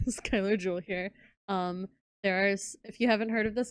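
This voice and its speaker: Her voice sits at a medium pitch, and this woman keeps her intonation fairly even. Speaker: co-player on stream. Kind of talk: content warning to viewers. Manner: quiet; halting.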